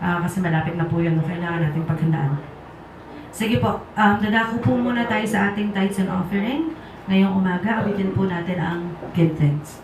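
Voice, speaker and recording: A woman at medium pitch, fairly quick, with ordinary pitch variation, audible room echo and noticeable background noise. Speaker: worship leader. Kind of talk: church service announcements.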